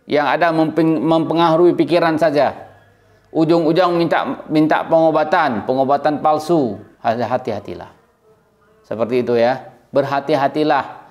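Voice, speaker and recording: A man's fairly high voice at a moderate pace, with ordinary pitch variation and very even loudness. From Aceh, Indonesia. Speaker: YouTube commentator. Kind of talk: opinion monologue. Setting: indoors in a room.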